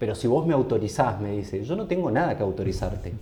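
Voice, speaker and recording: In a room with audible echo, a man with a medium-pitched, dark, mellow and somewhat breathy voice talks at a fairly quick pace with very wide pitch swings. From Argentina, San Rafael, Mendoza. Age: 30s. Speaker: designer and cycling community founder. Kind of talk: casual interview chat.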